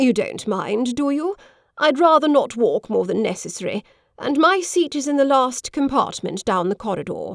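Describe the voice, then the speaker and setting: A woman puts on a husky character voice, pitched high, swinging through very wide pitch changes at a moderate pace. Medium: read story. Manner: forthright, chatty.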